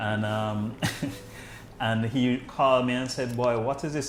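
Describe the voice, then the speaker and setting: A man speaks with a plain, everyday voice. His medium pitch follows fairly even intonation. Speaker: medical doctor, podcast host. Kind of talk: podcast interview, casual conversation.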